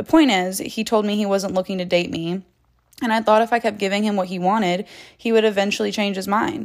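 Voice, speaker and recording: Pitch variation is ordinary in a plain, everyday voice. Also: woman. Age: 20s. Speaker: relationship advice podcaster. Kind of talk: solo monologue.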